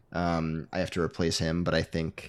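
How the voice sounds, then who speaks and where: The recording is very clean, with a silent background. A man speaks at a moderate pace with a very deep, low pitch. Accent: American. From Michigan, US. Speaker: co-host. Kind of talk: casual sports recap chat.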